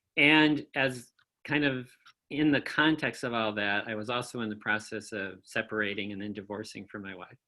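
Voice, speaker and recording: A man with a Midwestern American accent, medium pitch, moderate pace and ordinary pitch variation. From Kalamazoo, Michigan. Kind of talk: interview answer. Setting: remote video call.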